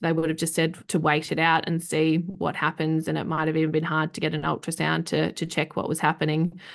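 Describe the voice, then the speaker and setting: A woman with a very deep, low pitch and vocal fry talks at a fairly quick pace with hardly any pauses and monotone, flat intonation against a quiet background. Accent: Australian. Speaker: professional home organiser. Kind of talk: casual interview chat.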